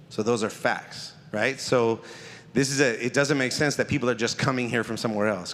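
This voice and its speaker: With an American accent, a man talks at a very fast pace in a medium pitch, keeping his intonation fairly even. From Hayward, California (Bay Area). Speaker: pastor and nonprofit consultant. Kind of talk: presentation to a community audience. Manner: casual, interactive.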